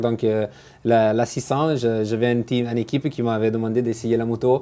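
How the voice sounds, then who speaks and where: At a moderate pace, a man with an Italian accent speaks at a medium pitch in a dark, mellow tone, monotone and flat in intonation, at a very even loudness, in a very clean recording with a silent background. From Italy, Genoa. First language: Italian (speaking French). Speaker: motorcycle racer. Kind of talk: interview. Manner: halting, many fillers.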